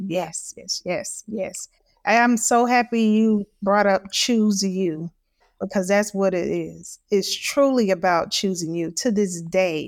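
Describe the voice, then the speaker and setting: On a very clean recording with a silent background and a dry, close sound with no echo, a woman speaks very slowly at medium pitch with ordinary pitch variation. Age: 40s. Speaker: mental health advocate. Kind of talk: casual chat. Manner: animated.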